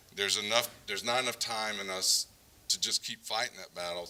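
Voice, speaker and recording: A man at a fairly low pitch and a moderate pace, with fairly even intonation and noticeable background noise. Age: 60s. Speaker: developer and builder. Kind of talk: conference talk.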